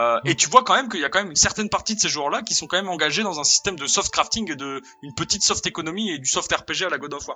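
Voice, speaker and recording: With music in the background, a high-pitched man talks very fast with hardly any pauses, lively intonation and big swings in loudness. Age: 20s. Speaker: video game designer. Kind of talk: casual chat.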